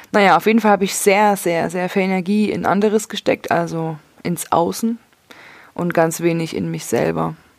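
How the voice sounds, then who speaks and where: Her voice is a normal speaking voice, fairly low in pitch for a woman. She keeps a moderate pace and fairly even intonation. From Leipzig, Saxony. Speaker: podcaster. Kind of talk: personal monologue.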